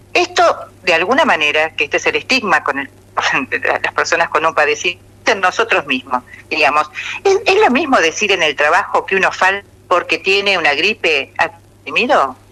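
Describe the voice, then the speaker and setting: Over noticeable background noise, a woman talks at a fairly quick pace with very even loudness and long, frequent pauses. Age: 60s. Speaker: mental health official. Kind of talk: radio interview.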